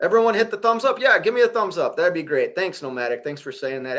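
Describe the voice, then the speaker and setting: A man with a Minnesota accent and a bright, sharp tone, on a very clean recording with a silent background. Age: 40s. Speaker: truck driver and livestreamer. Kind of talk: casual live stream chat. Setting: hotel room.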